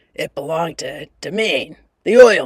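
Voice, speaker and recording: A man's put-on character voice, husky, gruff and raspy, at a moderate pace. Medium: read story. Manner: paternal contempt, supercilious.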